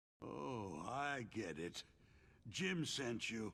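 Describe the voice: Using a put-on character voice, a man speaks very slowly with vocal fry and big pitch swings, on a very clean recording with a silent background. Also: medium pitch for a man, fairly bright tone.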